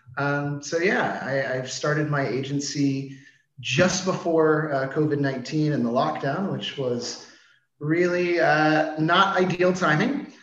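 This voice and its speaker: There is audible room echo as a man speaks with an American accent at a very slow pace. His pitch is fairly high, with ordinary variation. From US, Washington DC. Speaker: marketing agency CEO. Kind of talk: interview. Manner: casual, filler-heavy.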